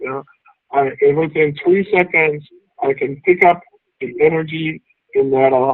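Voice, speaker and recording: Speaking fairly slowly with long, frequent pauses, a man keeps a fairly high pitch and fairly even intonation. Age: 50s. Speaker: executive coach and author. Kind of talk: talk to members. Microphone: audio issues.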